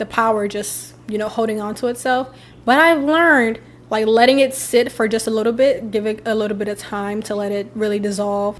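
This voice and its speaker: An animated woman's voice, fairly high in pitch, with ordinary pitch variation and a fairly quick pace. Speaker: lifestyle vlogger. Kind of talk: casual favorites vlog. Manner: fast.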